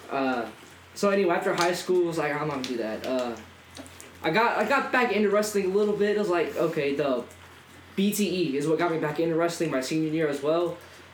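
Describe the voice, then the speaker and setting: A high-pitched man speaks at a very fast pace with lively intonation. Noticeable background noise is present. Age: young. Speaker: professional wrestler. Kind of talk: casual chat.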